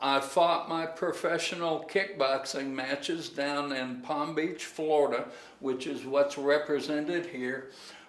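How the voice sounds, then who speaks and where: Speaking at a fairly slow pace with fairly even intonation, a man with a fairly high pitch is heard amid audible room echo and noticeable background noise. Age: 70s. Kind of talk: casual tour and chat. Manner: hesitant fillers.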